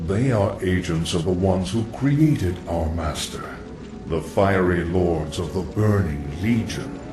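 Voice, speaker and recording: Over loud background noise and a slight echo, a man uses a cartoonish character voice with a very deep, low pitch at a fairly slow pace. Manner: calm, knowing, ominous.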